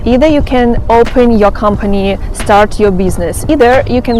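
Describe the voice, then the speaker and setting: A woman with a non-native accent talks at a moderate pace in a fairly high pitch with ordinary pitch variation, amid noticeable background noise and audible room echo. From Ukraine. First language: Russian or Ukrainian. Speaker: vlogger, former flight attendant. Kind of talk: vlog monologue.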